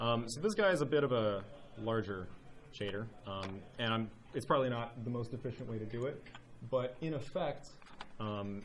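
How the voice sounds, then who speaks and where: Audible room echo and noticeable background noise surround speech with ordinary pitch variation. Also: man. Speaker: volunteer speaker at game developer meetup. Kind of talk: technical show-and-tell presentation. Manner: fast; casual with many filler words.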